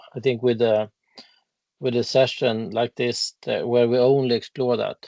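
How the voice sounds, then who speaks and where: With a Swedish accent, a man speaks at a fairly slow pace in a dark, mellow tone. His intonation is fairly even, and the sound is dry and close with no echo. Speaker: legal expert on ecocide law. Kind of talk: casual interview conversation. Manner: halting.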